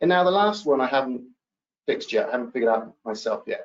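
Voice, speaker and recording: His pitch swings very widely as the man speaks. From UK. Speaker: business executive. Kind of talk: webinar talk.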